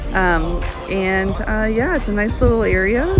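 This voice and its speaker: Clear music plays in the background behind a woman's voice, which has a dry sound with no echo. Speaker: park reviewer vlogger. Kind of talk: casual vlog tour commentary. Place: open country. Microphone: phone near.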